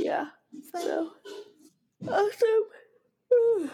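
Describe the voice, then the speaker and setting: Her accent is American. The woman's intonation rises and falls in a lively way. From Boston area, Massachusetts. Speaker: podcast host. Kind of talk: casual chat.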